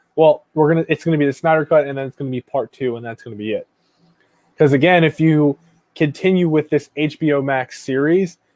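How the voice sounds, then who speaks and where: In a dry, close sound with no echo, a man with a fairly high pitch talks at a fairly quick pace with fairly even intonation and big swings in loudness. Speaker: YouTube movie reviewer. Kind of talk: live stream chat. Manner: fast.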